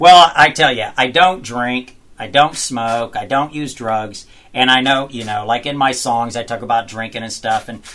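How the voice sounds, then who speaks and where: With a Southern US accent, a man speaks at a medium pitch and moderate pace, his bright, sharp tone showing ordinary pitch variation and big swings in loudness. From US South (Georgia). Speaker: country singer. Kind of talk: interview. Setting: studio.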